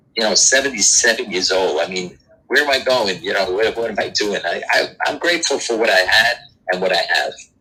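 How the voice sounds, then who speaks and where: This speaker is a man with a New York accent. He talks fairly quickly. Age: 70s. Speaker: doo-wop singer. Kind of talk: interview. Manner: halting.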